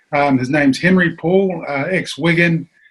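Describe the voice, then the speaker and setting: A man with a New Zealand accent speaks with fairly even intonation. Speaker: former rugby league player. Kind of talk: casual chat.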